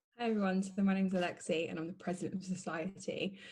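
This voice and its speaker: A woman speaks at a very fast pace and medium pitch, somewhat breathy, with fairly even intonation and a dark, mellow tone. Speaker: law student and society president. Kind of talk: panel talk.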